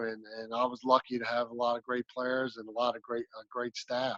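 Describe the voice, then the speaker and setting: This man has a medium pitch and a slight Southern US accent. The sound is dry and close, with no echo. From Maryland, south of Annapolis. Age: 40s. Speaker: basketball coach. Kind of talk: interview.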